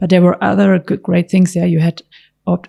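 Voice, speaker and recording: A soft-spoken woman with a German accent talks at a fairly low pitch, her tone dark, mellow and somewhat breathy. The sound is dry and close, with no echo. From Germany, Stuttgart area. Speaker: car designer. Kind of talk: interview answer.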